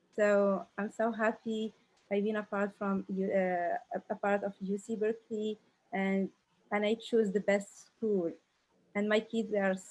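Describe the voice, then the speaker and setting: The speaker has an Arabic accent and fairly even intonation. The pace is fairly slow. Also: woman. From Algeria. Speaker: re-entry university student. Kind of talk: panel introduction. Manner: halting.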